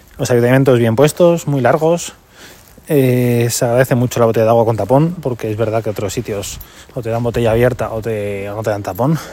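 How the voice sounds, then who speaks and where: Talking at a fairly quick pace, a man has a normal speaking voice at medium pitch, with ordinary pitch variation. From Madrid region, Spain. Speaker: podcast host, amateur runner. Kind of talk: casual monologue race report.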